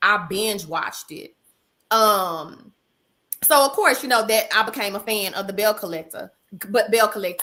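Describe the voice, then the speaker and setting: In a very clean recording with a silent background, a woman with a Texan accent speaks at a moderate pace, fairly high in pitch, with a bright, sharp, animated tone and lively intonation. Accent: Texas Southern. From Texas. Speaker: therapist and reality show fan. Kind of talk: casual livestream chat.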